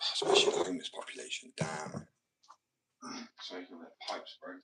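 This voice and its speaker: Speaking with a British accent, a man keeps a moderate pace. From Britain. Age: 20s. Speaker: live streamer and painter. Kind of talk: casual live stream chat. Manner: casual.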